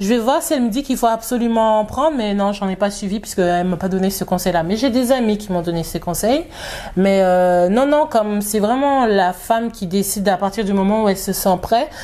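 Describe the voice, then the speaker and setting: A woman talks fairly quickly with ordinary pitch variation as noticeable background noise carries on. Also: medium pitch for a woman. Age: 30s. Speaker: new mother, community group founder. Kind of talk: casual interview. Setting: living room at home.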